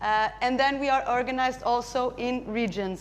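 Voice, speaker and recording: A woman speaks with a Portuguese accent. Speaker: charity representative. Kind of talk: conference presentation. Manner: halting.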